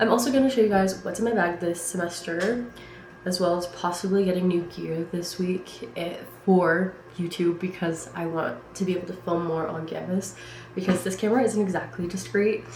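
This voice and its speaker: Medium-pitched female speech with audible room echo and noticeable background noise. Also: ordinary pitch variation, moderate pace. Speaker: vlogger, college student. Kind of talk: casual vlog chat. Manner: loud.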